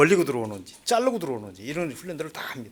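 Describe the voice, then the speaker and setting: Very wide pitch swings in a man's fairly high-pitched voice. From North Korea, Hwanghae Province. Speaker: former North Korean agent, North Korea studies lecturer. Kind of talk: lecture.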